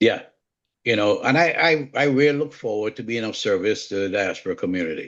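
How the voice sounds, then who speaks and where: In a strong Jamaican accent, a man with a medium pitch speaks at a fairly quick pace with lively intonation. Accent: Jamaican, kept strong. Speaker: home inspector. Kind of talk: live online community call.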